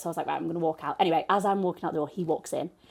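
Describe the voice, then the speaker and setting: A woman speaks in a northern English accent at a fairly low pitch. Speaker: podcast co-host. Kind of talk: casual chat. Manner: animated.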